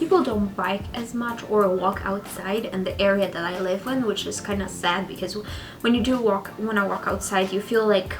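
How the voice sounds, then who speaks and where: Speaking at a moderate pace with a slight Polish accent, a woman uses a medium pitch and ordinary pitch variation, with noticeable background noise and audible room echo. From Poland. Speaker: vlogger. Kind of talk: casual sit-down vlog. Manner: hesitant, with fillers.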